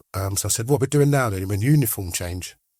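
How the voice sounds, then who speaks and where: Recorded very cleanly against a silent background, a man speaks at a fairly low pitch with ordinary variation and a somewhat breathy quality. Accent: English. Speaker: former prisoner and recovered addict. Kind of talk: interview storytelling. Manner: animated.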